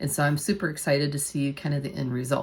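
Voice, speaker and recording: A woman's very deep, low voice with vocal fry. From United States. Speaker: nurse and bariatric surgery vlogger. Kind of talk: casual vlog talk to camera. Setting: at home. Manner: quieter than usual, not projecting.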